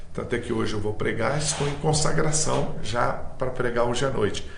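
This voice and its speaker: Noticeable background noise and audible room echo surround a man speaking at a medium pitch and moderate pace with ordinary pitch variation. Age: 60s. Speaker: missionary preacher. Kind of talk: interview.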